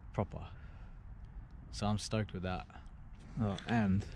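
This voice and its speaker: Over light background noise, a man with a fairly low pitch talks at a moderate pace in a dry sound with no echo. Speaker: skateboarder vlogger. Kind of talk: casual vlog chat. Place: street. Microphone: phone near.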